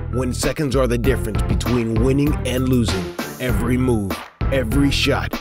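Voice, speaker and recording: Over music in the background, a man with a fairly low pitch speaks in a dramatic, energetic tone with very wide pitch swings. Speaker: voice-over narrator. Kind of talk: TV show promo narration.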